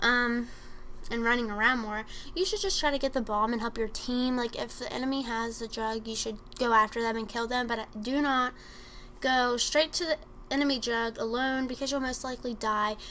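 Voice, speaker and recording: High in pitch, a woman speaks in a bright, sharp tone with fairly even intonation. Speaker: gaming commentator. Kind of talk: gameplay tutorial commentary. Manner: fast.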